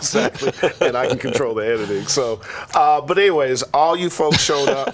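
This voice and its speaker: A man with a fairly high pitch at a fairly quick pace, ordinary pitch variation and noticeable background noise. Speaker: talk show co-host. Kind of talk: casual show intro chat. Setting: studio.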